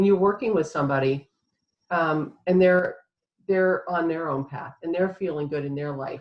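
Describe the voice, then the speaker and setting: At a moderate pace and fairly low pitch, a woman with a normal speaking voice talks with ordinary pitch variation. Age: 60s. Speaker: author and inspirational speaker. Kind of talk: interview. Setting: live online summit.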